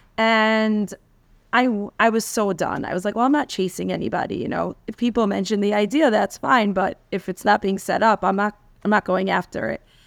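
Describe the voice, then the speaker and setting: A woman talks in a plain, everyday voice at a fairly quick pace, with medium pitch and fairly even intonation. The recording is very clean with a silent background and a dry, close sound with no echo. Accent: American. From New York, Queens. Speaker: rabbi's wife, community leader. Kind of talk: interview.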